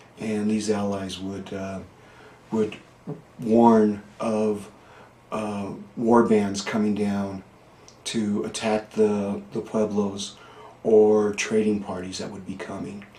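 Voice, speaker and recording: With long, frequent pauses and audible room echo, a man speaks very slowly in a fairly low, monotone, flat voice. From northern New Mexico (Questa, Taos County). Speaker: local historian. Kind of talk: oral history interview. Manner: halting, many fillers.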